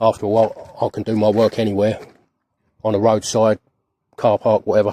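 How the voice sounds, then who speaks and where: The speaker has a British accent and a dark, mellow tone. Delivery is fairly quick, with monotone, flat intonation. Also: man. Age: 50s. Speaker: van life vlogger. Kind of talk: casual vlog monologue. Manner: halting, repeats words.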